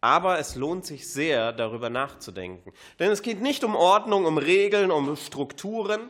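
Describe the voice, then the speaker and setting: A man's pitch swings very widely while he talks at a fairly slow pace. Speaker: preacher. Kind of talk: sermon. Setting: church service.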